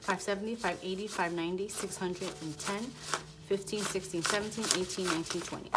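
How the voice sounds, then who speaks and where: A woman of medium pitch speaks with fairly even intonation against noticeable background noise. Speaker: budgeting vlogger. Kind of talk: casual tutorial, counting cash. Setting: home, apartment with thin walls. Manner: quieter, lowered voice.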